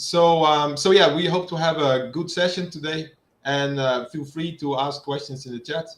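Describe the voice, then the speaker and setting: A man with a Dutch accent speaks with fairly even intonation. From Netherlands. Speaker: HVAC engineering expert. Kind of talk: technical presentation. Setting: online livestream.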